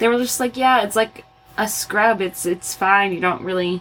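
A woman with an American accent amid noticeable background noise. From Arizona. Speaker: occupational therapist and podcast host. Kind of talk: casual chat.

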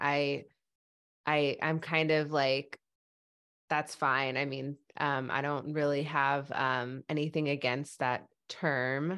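A woman with a very deep, low pitch speaks at a very slow pace, her intonation fairly even. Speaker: stuttering advocate and podcaster. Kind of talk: casual interview. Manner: halting, stutters with repetitions.

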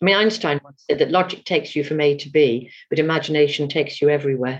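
This woman has a very deep, low pitch with ordinary pitch variation. She speaks at a fairly quick pace. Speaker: astrologer.

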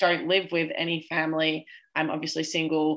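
An Australian accent over music in the background. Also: woman. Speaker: podcast co-host. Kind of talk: casual chat.

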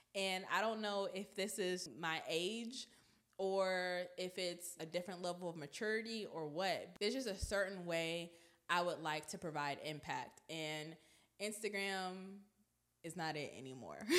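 Animated female voice at a medium pitch, at a fairly slow pace with ordinary pitch variation. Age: 20s. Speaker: personal finance podcast host and business coach. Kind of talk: solo podcast monologue. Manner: animated, laughs often.

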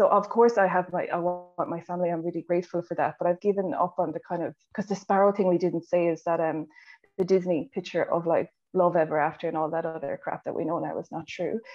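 With an Irish accent, a woman talks at a very fast pace with a fairly low pitch and fairly even intonation. Music plays in the background. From Ireland. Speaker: nurse working in education. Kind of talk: podcast interview. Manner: gentle, warm.

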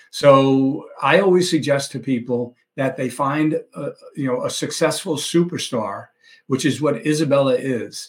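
This man has an ordinary speaking voice with a fairly high pitch. His intonation is fairly even and his pace moderate. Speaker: mortgage industry veteran interviewer. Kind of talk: interview.

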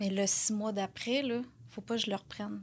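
The recording is very clean, the background silent. This woman's intonation stays fairly even. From Quebec, Lanaudière. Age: 30s. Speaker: correctional officer, fitness coaching client. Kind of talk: casual interview.

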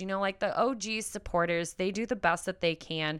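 A woman's animated, medium-pitched voice, bright and sharp, at a fairly quick pace with ordinary pitch variation, on a very clean recording with a silent background. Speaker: sex and intimacy coach, podcast host. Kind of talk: casual solo podcast talk. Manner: direct.

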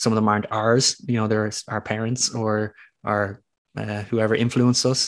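Speaking at a moderate pace with an Irish accent, a man keeps his fairly low voice monotone and flat over a quiet background. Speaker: retreat founder and scientist. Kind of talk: casual interview chat.

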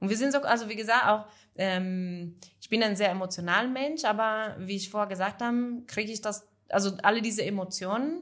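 A woman with an Italian accent at a moderate pace. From northern Italy, Friuli. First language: Italian (speaking German). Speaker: café entrepreneur. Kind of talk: casual interview chat. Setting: café back room. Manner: halting.

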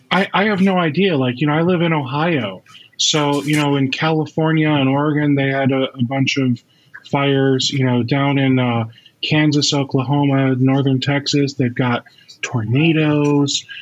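A man talks at a moderate pace in a fairly high pitch, with fairly even intonation and very even loudness. Noticeable background noise runs underneath. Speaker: podcast host. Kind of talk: casual interview. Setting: video call. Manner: relaxed, jokey.

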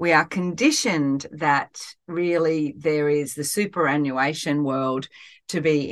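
Against a quiet background, a woman with a very deep, low voice and an Australian accent speaks at a fairly slow pace with ordinary pitch variation. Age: 50s. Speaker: life coach and podcast host. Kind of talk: solo podcast talk.

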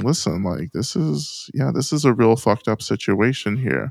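With an American accent, a man talks at medium pitch with lively intonation and vocal fry, the sound dry and close with no echo. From US South. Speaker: Buddhist teacher and author. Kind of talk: interview conversation.

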